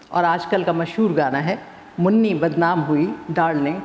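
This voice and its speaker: With ordinary pitch variation and a fairly low pitch, a woman talks in an unremarkable speaking voice. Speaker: author and former TV newsreader. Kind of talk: satirical prose reading.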